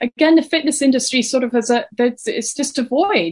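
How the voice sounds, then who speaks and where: In an English accent, a woman speaks at a moderate pace. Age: 40s. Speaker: fitness and wellness coach. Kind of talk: interview, casual chat.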